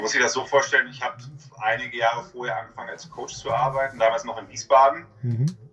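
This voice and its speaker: Noticeable background noise runs behind a man of medium pitch who talks at a very fast pace. His pitch variation is ordinary, but his loudness swings widely. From Westphalia, Germany (Hamm). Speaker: psychologist, author and university lecturer. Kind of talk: interview.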